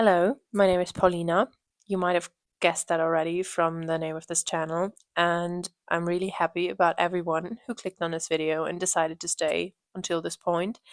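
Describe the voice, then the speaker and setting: Fairly low and flat in a monotone, a woman's voice with a German accent moves at a fairly quick pace, dry and close with no echo on a very clean recording with a silent background. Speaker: knitting podcaster. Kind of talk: casual podcast monologue.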